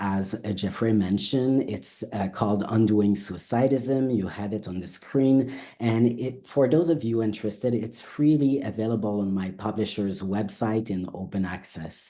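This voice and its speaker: With audible room echo, a man speaks at a moderate pace, hardly pausing. His voice is fairly low, dark and mellow, with ordinary pitch variation. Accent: French. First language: French. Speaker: academic researcher. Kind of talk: academic lecture. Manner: halting.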